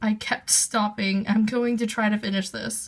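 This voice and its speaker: A woman speaking at a fairly slow pace. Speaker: manga collector. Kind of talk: casual talk to camera.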